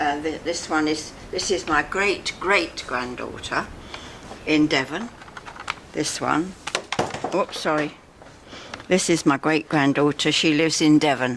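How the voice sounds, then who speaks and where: With noticeable background noise behind her, a woman with a London accent speaks fairly slowly in a very deep, low voice with ordinary pitch variation and long, frequent pauses. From Barnes, London, England. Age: 90s. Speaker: elderly resident. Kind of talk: casual chat. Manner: halting.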